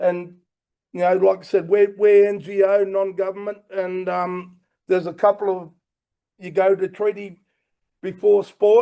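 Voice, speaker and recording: Fairly slow and full of long, frequent pauses, a man speaks in a passionate, dark, mellow tone at a high pitch with monotone, flat intonation. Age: 60s. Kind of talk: panel talk. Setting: conference stage with audience.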